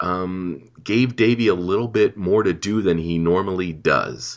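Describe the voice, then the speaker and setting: A man with a very deep, low voice and vocal fry speaks against a quiet background. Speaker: podcast commentary host. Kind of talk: casual chat.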